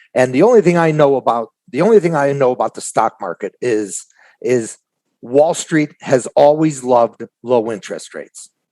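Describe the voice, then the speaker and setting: With an American accent, a man speaks at a fairly high pitch and a moderate pace, using lively intonation. His tone is dark and mellow, and the sound is dry and close with no echo. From Chicago. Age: 60s. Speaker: trader. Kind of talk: casual interview chat.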